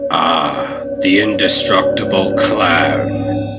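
A man puts on a character voice with a low pitch, a bright, sharp tone and lively intonation. He goes at a very slow pace while faint music plays in the background.

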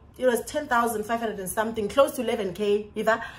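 A woman with a South African accent talks in an animated tone. Her pitch is fairly high and her pace moderate. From South Africa, Xhosa-speaking. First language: isiXhosa. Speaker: vlogger, English teacher in China. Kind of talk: storytime vlog. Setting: recorded to camera at home. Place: home room. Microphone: phone near.

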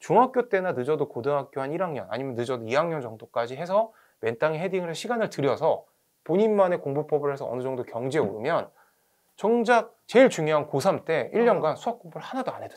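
In a quiet background, a man with a fairly high pitch speaks at a fairly quick pace, his voice making very wide pitch swings and big swings in loudness. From South Korea. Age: 40s. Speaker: academy director and education YouTuber; guest. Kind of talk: interview. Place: studio. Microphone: lapel.

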